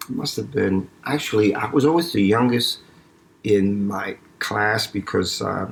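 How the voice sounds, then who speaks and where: The pace here is fairly slow. The speaker is a man with a New York accent. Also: fairly low pitch for a man, ordinary pitch variation. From New York City, East Harlem. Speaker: eye surgeon. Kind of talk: interview. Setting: home, not usual studio. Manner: mumbling; halting.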